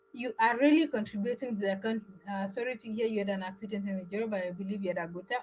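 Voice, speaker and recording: Somewhat breathy and pitched at a medium level, a woman speaks with an East African accent and fairly even intonation. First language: Swahili. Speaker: travel vlogger. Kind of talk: live stream chat. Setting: live stream.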